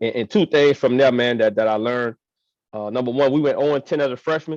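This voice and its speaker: A man with an American accent speaks at a very fast pace with ordinary pitch variation. The sound is dry and close with no echo, and the background is quiet. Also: medium pitch for a man. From New Orleans, Louisiana. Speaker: high school football coach. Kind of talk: interview. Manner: halting, repeats words.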